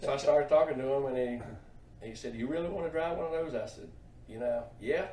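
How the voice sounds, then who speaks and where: A man with an American accent talks at a very fast pace and a fairly high pitch, with big swings in loudness and long, frequent pauses. Audible room echo and noticeable background noise are present. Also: ordinary pitch variation. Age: 60s. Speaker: truck driver for a racing team. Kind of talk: interview.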